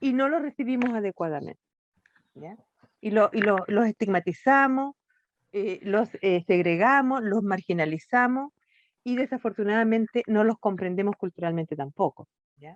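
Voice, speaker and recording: A woman with an unremarkable speaking voice talks at a moderate pace and a fairly high pitch, with lively intonation. Her loudness swings widely, and the sound is dry and close with no echo. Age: 60s. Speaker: NGO director, children's rights advocate. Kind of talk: interview conversation.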